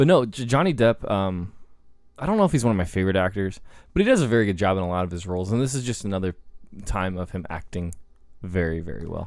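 The speech moves at a very fast pace in a very clean recording with a silent background. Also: man, very deep, low pitch for a man, ordinary pitch variation. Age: 20s. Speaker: podcast host, movie reviewer. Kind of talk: reading film summary; casual chat.

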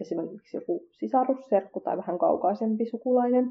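At a moderate pace, a woman with an unremarkable speaking voice talks, her pitch varying in an ordinary way. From Finland, Kurdish family. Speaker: podcast host. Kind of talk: scripted podcast monologue.

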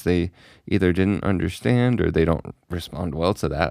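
Recorded very cleanly against a silent background, a man with a very deep, low pitch talks at a moderate pace with lively intonation. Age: 20s. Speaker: podcast host. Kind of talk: casual solo chat. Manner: hesitant, many fillers.

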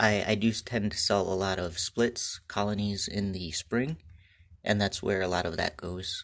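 Against a very clean recording with a silent background, a man with a plain, everyday voice talks at a moderate pace, fairly low in pitch and with fairly even intonation. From Michigan. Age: 20s. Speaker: beekeeper, podcast host. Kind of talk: solo podcast monologue. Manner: casual, with frequent fillers.

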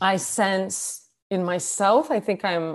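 A woman with an American accent talks in an ordinary speaking voice, her fairly low pitch held in fairly even intonation. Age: 40s. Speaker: author and writing coach. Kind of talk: casual chat.

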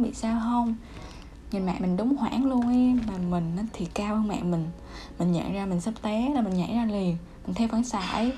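The room echo is audible around a woman with a fairly high pitch. She talks at a moderate pace with ordinary pitch variation. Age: 20s. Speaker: podcaster. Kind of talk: casual monologue.

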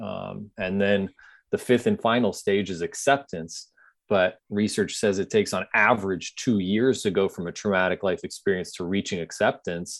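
With a Californian accent, a man talks at a moderate pace in a fairly low voice with fairly even intonation over a quiet background. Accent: General American, Californian. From US West Coast, San Diego. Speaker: blind golfer and inspirational speaker. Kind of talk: interview.

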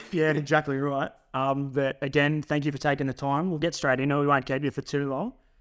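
A man's fairly high voice at a very fast pace, monotone and flat, with an Australian accent, on a very clean recording with a silent background. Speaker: podcast co-host. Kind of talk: casual chat. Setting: studio.

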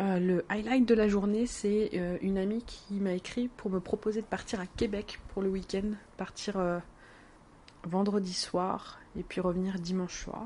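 A dark, mellow, somewhat breathy tone at a fairly slow pace, with monotone, flat intonation. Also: woman, medium pitch for a woman. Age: 20s. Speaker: podcaster keeping an audio diary. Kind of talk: personal audio diary. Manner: hesitant, many fillers.

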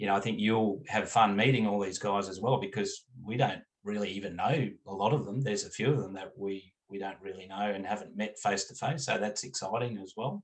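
A man with an Australian accent talks at a fairly quick pace with hardly any pauses. His fairly low pitch keeps fairly even intonation while his loudness swings widely. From country Australia. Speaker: cricket club owner. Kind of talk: interview.

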